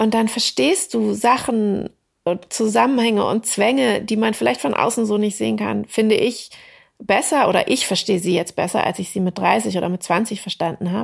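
Nothing can be heard behind this woman, and the recording is very clean. She keeps a moderate pace. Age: 40s. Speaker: novelist. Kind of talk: interview. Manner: hesitant with many fillers.

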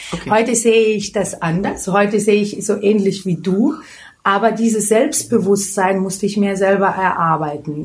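Speaking at a moderate pace with a Lithuanian accent, a woman uses a medium pitch and ordinary pitch variation. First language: Lithuanian (speaking German). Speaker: beauty expert and hairdresser. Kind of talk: interview.

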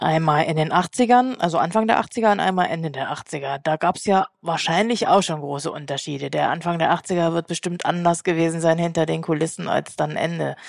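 A woman with a plain, everyday voice speaks at a moderate pace and fairly low pitch, using ordinary pitch variation and hardly any pauses. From East Germany. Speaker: magazine editor-in-chief, co-host. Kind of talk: interview.

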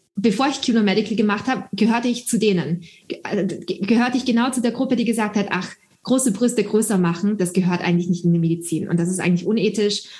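A woman speaks very fast in a somewhat breathy voice with ordinary pitch variation. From Austria. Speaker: startup founder and doctor. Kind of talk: interview. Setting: video call.

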